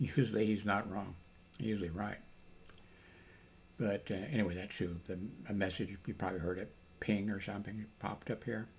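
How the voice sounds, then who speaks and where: A man talks at a fairly quick pace, broken by long, frequent pauses. His voice is somewhat breathy, with fairly even intonation. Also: fairly low pitch for a man. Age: 80s+. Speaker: retired hospital security officer; shortwave radio hobbyist. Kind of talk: casual talk to camera. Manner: rambling, hesitant.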